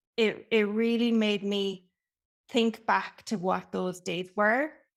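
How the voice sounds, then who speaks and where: A woman with an Irish accent speaks very slowly in a fairly high voice with ordinary pitch variation, recorded very cleanly against a silent background. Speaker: brand and customer experience consultant. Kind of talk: podcast interview. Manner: talkative.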